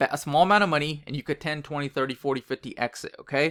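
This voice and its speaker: Very fast and fairly high in pitch, a man's bright, sharp voice comes through a very clean recording with a silent background and a dry, close sound with no echo. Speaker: sports betting tutorial youtuber. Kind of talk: screen-share tutorial.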